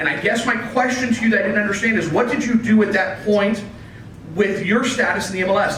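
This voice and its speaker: Talking at a fairly quick pace with ordinary pitch variation, a man is heard through audible room echo and noticeable background noise. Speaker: real estate listing service representative. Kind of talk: presentation with Q&A at office meeting. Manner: loud.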